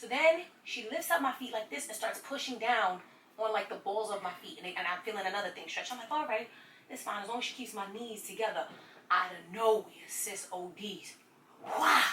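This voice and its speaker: A woman's fairly high, bright, sharp voice in an American accent at a fairly quick pace. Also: lively intonation. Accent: New York, Nuyorican. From Brooklyn, New York. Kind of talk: casual story time to camera. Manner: animated, comedic.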